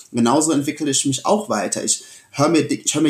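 A man talks at a fairly quick pace with a somewhat breathy voice. His pitch is fairly high with ordinary variation. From Germany, Westerwald (Rhineland-Palatinate). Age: 20s. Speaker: keynote speaker and coach. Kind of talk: casual interview. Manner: animated.

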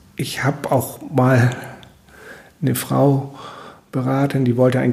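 Over noticeable background noise and audible room echo, a man with medium pitch speaks in a flat monotone at a moderate pace, leaving long, frequent pauses. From northern Germany, Husum (North Frisia). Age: 50s. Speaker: chamber of commerce branch manager. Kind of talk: interview. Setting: office.

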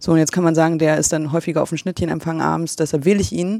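This woman speaks with a very deep, low pitch and a dark, mellow tone. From East Germany, East Berlin. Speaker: politician. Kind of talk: interview.

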